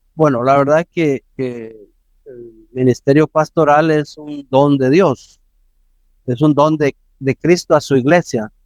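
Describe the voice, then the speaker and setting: Very slowly and with long, frequent pauses, a man speaks at a fairly high pitch with fairly even intonation and big swings in loudness, in a dry, close sound with no echo. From western El Salvador. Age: 70s. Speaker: pastor. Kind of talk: interview.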